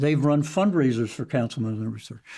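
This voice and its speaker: This man has a dark, mellow tone and an American accent. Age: 80s+. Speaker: former county council chairman. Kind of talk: political interview.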